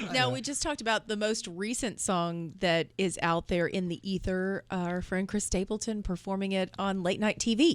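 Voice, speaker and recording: With an ordinary speaking voice, a woman talks at a moderate pace and a medium pitch, using ordinary pitch variation and hardly any pauses. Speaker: radio show co-host. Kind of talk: live morning radio show banter.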